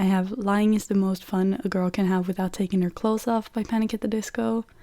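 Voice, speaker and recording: Recorded very cleanly with a silent background, a woman with a Norwegian accent speaks at a medium pitch, in a dark, mellow tone with ordinary pitch variation. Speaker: podcast host. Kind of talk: casual chat.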